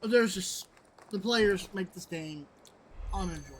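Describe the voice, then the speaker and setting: Noticeable background noise sits behind a woman's medium-pitched voice. She moves at a fairly quick pace with ordinary pitch variation. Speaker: gaming YouTuber. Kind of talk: game commentary. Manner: halting, repeats words.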